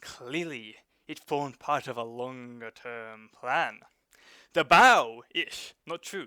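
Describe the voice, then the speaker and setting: A man's bright, sharp, dramatic tone in a dry, close sound with no echo. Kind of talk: dramatic reading of online forum posts. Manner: dramatic, expressive.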